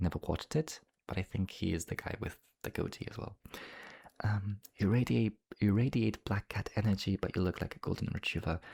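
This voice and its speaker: A man with a Polish accent talks at a fairly quick pace in a fairly low, somewhat breathy voice. The sound is dry and close with no echo, and his pitch varies in an ordinary way. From Poland. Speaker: ASMR YouTuber. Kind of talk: ASMR casual talk, reading viewer comments. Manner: whispering; fast.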